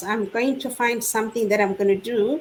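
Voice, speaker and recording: Fairly high-pitched woman at a moderate pace, with fairly even intonation amid noticeable background noise. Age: 60s. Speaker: online business owner sharing her story. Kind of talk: testimony in a live online panel chat. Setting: live online stream.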